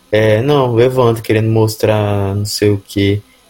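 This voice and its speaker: Speaking at a moderate pace, a man has a somewhat breathy voice with a dark, mellow tone, medium pitch and fairly even intonation. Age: 20s. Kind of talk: casual chat.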